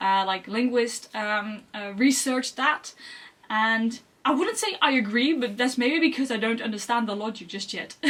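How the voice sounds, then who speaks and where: A woman speaks at a moderate pace in a fairly high voice. Her pitch varies in an ordinary way. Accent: Dutch. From Netherlands. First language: Dutch. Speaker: language learning youtuber. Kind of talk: vlog monologue. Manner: halting.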